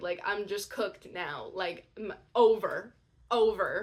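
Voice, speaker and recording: Using an ordinary speaking voice, a woman talks at a fairly slow pace with ordinary pitch variation. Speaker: audiobook narrator. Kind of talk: casual talk to camera. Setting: camera microphone. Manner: chatty, excitable.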